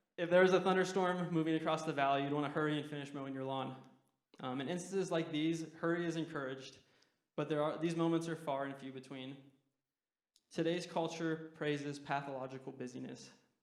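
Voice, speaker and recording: A man talks at a fairly quick pace in a fairly high voice. His intonation stays fairly even, and the room echo is audible. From Utah. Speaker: guest preacher, university student. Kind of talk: sermon. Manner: fast.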